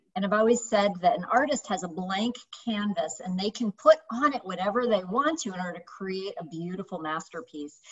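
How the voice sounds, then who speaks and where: In an American accent, the speaker moves at a fairly quick pace with hardly any pauses, lively intonation and big swings in loudness. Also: woman, medium pitch for a woman. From United States. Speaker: YouTube host. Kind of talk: interview. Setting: video call. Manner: animated. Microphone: webcam.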